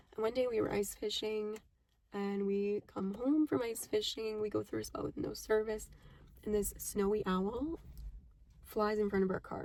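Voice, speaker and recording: With a plain, everyday voice, a woman speaks at a moderate pace and a fairly high pitch, using ordinary pitch variation. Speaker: podcast host. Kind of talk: casual monologue. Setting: in a car.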